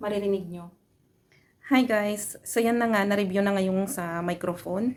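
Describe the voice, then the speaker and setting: Soft-spoken delivery at a moderate pace. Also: woman. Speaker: vlogger, overseas Filipino worker. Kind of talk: product review vlog. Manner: casual.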